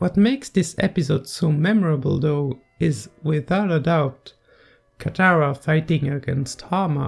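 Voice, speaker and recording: A fairly slow pace with a non-native accent. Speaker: video essayist. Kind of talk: video essay commentary narration.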